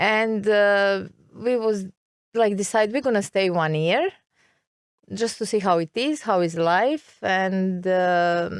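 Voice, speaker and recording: A woman with a Serbian accent speaks at a very slow pace and medium pitch with ordinary pitch variation, on a very clean recording with a silent background. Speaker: expat interviewee. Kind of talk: interview. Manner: halting.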